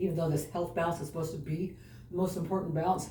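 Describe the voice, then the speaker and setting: A woman talks very fast in a fairly low voice with ordinary pitch variation. Audible room echo and noticeable background noise surround her. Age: 60s. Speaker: fitness vlogger. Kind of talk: exercise vlog. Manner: casual, chatty.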